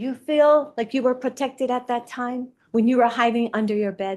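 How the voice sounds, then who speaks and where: A woman speaks at a moderate pace with ordinary pitch variation and a dark, mellow tone. The background is quiet. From Hawaii. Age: 60s. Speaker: public testifier. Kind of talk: public testimony. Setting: public board meeting. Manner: impassioned.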